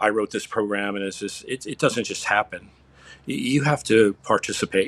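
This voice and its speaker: Against a very clean, silent background, a man with an ordinary speaking voice talks at a moderate pace in a fairly low pitch. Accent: American. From Upstate New York. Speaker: fitness coach. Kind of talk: casual interview.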